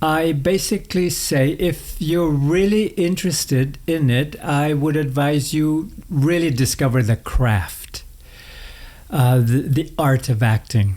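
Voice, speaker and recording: A somewhat breathy, dark, mellow tone at a very slow pace, with ordinary pitch variation and very even loudness. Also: man, fairly high pitch for a man. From northern Manitoba, Canada (Cree reserve). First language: Cree. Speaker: actor. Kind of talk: interview conversation. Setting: home studio.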